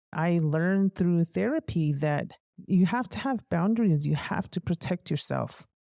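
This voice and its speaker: A woman's fairly low, dark and mellow voice in an American accent, at a fairly slow pace, with a quiet background and a dry, close sound with no echo. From Navajo reservation, US Southwest. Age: 50s. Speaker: military veteran. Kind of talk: interview testimony.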